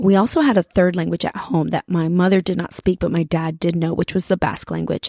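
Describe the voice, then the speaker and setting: With a Spanish accent, a woman speaks at a fairly low pitch, recorded dry and close with no echo on a very clean track with a silent background. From Washington State, US. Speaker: podcast host and teacher. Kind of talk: podcast monologue. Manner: casual, with false starts.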